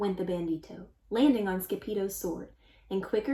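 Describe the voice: Someone reads aloud plainly, the pitch shifting by a normal amount.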